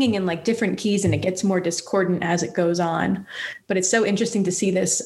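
The clip is an unforced reading voice.

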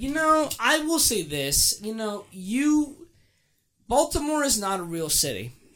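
A man with an American accent speaks at a fairly slow pace in an extremely high voice, bright and sharp in tone with very wide pitch swings, on a very clean recording with a silent background. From Maryland, near DC. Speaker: teacher. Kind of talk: casual chat.

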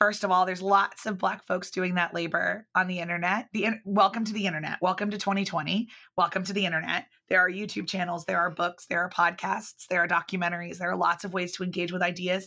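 A woman speaks very fast at a medium pitch, her tone bright and sharp and her intonation monotone and flat, in a very clean recording with a silent background. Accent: Mid-Atlantic American. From US Mid-Atlantic (Baltimore and Philadelphia suburbs). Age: 30s. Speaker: public speaker and business owner. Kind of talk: casual interview chat.

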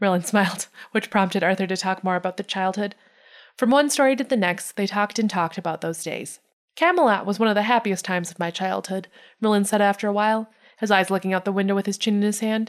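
In a Midwestern American accent, a woman talks at a very fast pace and a medium pitch. Her intonation is fairly even, and the recording is very clean with a silent background. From US Midwest. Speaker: podcast co-host. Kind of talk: reading aloud.

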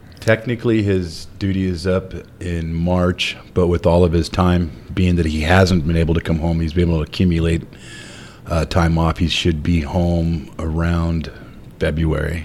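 Against noticeable background noise, a man with a very deep, low pitch talks at a moderate pace with fairly even intonation. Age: 50s. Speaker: truck driver. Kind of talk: casual chat.

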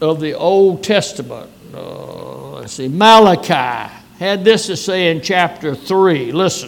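Speaking very slowly in a high voice, a man with a Louisiana accent is heard over noticeable background noise. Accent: Southern US (Louisiana). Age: 90s. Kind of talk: sermon. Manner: folksy, conversational.

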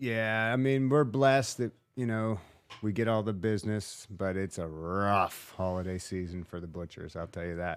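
With an ordinary speaking voice, a man talks at a moderate pace in a fairly low pitch with ordinary pitch variation. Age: 40s. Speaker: butcher shop manager. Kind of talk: casual chat. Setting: studio.

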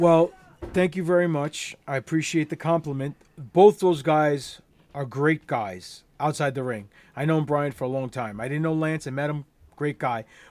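A man with an American accent and a plain, everyday voice talks at a moderate pace, his fairly high pitch showing ordinary variation on a very clean recording with a silent background. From New York, Queens. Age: 40s. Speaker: professional wrestler. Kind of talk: casual interview. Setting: podcast recording.

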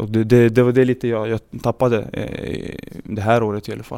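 A dark, mellow tone with monotone, flat intonation at a fairly quick pace. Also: man. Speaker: professional footballer. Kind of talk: interview.

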